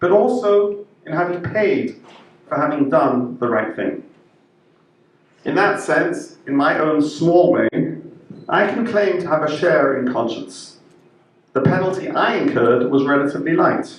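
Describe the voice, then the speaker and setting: Amid noticeable background noise and audible room echo, a man with a British accent and a high pitch speaks at a fairly slow pace, with lively intonation and long, frequent pauses. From Israel, born in UK. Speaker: rabbi. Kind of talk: prepared speech. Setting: interfaith event.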